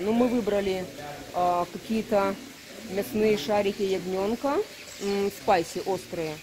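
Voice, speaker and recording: A woman speaks at a fairly slow pace with ordinary pitch variation. Noticeable background noise accompanies her. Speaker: travel vlogger. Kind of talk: casual vlog chat. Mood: relaxed, cheerful. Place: cafe. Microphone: phone near.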